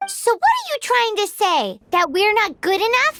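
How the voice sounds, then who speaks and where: A put-on character voice, squeaky and extremely high in pitch, moves at a moderate pace. Music plays in the background. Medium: video game.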